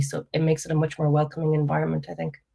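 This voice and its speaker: A woman speaks with an Irish accent and a very deep, low pitch. Her voice is somewhat breathy. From Ireland, County Mayo. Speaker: panel speaker. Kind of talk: panel discussion.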